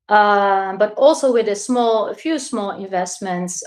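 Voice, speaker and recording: A woman of medium pitch with a Dutch accent, speaking at a fairly slow pace. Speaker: crypto investor. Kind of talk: interview. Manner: halting.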